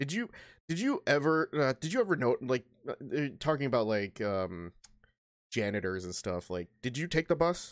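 A man speaks at a moderate pace, his fairly high voice swinging very widely in pitch. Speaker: podcast host. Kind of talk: casual chat. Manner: laughs often, animated.

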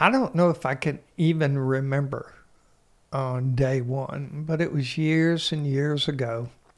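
With a plain, everyday voice, a man speaks at a fairly slow pace and a fairly high pitch, keeping his intonation fairly even. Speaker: podcast co-host, lawyer. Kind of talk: casual chat. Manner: dry, deadpan humor.

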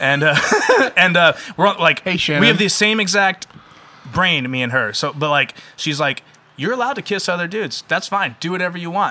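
A man with a high pitch talks at a fairly quick pace, with long, frequent pauses. Noticeable background noise runs underneath. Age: 30s. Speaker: metal band musician. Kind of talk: casual chat. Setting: in-person studio recording.

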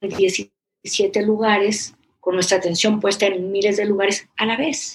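A woman with a normal speaking voice talks at a fairly slow pace, using a fairly high pitch and fairly even intonation. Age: 50s. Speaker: therapist. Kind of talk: interview conversation.

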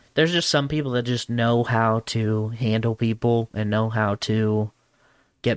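In a very clean recording with a silent background and a dry, close sound with no echo, a man speaks with monotone, flat intonation. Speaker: podcast host. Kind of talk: casual banter podcast. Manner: joking, self-deprecating.

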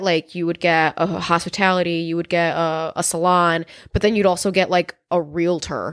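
A woman's ordinary speaking voice with an American accent, medium in pitch, at a moderate pace, on a very clean recording with a silent background. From Chicago. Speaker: podcast co-host. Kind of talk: casual chat.

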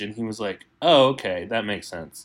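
A man with an American accent. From Texas. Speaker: painter and art educator. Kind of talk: interview.

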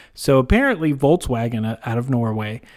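Pitched at a medium level, a man talks in a plain, everyday voice. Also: very clean recording, silent background. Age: 30s. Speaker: podcast host. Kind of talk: casual chat. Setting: studio.

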